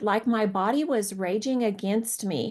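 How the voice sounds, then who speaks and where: A woman with a plain, everyday voice talks at a fairly slow pace, using a fairly high pitch and ordinary pitch variation. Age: 60s. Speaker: professor. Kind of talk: online panel talk.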